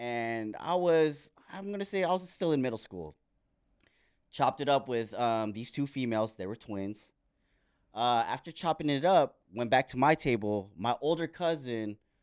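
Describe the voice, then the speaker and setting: A man at a medium pitch, fairly slow and with lively intonation, in a very clean recording with a silent background. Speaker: podcast host. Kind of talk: casual podcast conversation. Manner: casual, profane.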